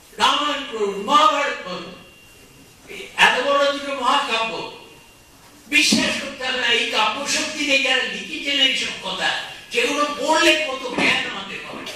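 Strong room echo surrounds a man speaking at an extremely high pitch with ordinary pitch variation. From West Bengal, India. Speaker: politician and lawyer. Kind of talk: public speech. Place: hall. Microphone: pa.

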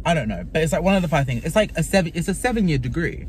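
The man's voice has a dry sound with no echo, with light background noise behind it. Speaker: vlogger. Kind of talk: casual vlog chat. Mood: animated ranting. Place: car. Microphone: phone near.

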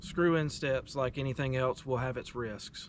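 A man talks at a fairly quick pace in a dry sound with no echo, over light background noise. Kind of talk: tutorial. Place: forest.

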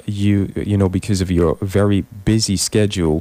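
A man with a very deep, low pitch and a dark, mellow tone speaks at a moderate pace in a dry sound with no echo. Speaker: radio show host. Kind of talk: radio interview hosting. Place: studio.

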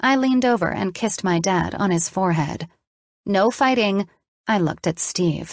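A natural voice reading aloud, over a quiet background.

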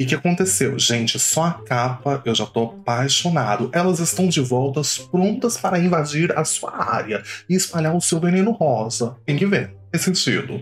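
The speaker keeps a moderate pace with hardly any pauses and very wide pitch swings, over light background noise. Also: man. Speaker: reaction channel host. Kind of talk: casual vlog chat. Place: home room. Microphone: headset.

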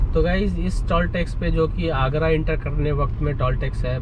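Over noticeable background noise, a man talks at a moderate pace with hardly any pauses and very even loudness, in a dry sound with no echo. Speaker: vlogger. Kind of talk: casual vlog chat. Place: car. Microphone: camera far.

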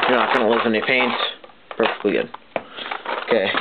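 A man speaks over loud background noise. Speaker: paintball hobbyist reviewer. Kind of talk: casual product review to camera. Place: home room. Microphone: webcam.

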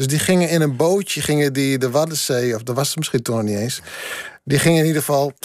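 A man's fairly high-pitched voice, a normal speaking voice, with a dry sound with no echo and a quiet background. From Friese Wouden, Friesland; Friesland. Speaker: poet. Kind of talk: radio interview. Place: studio. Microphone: studio mic.

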